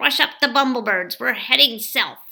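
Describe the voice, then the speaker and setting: Putting on a growling character voice, a woman speaks at a high pitch. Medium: read story. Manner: gruff, commanding.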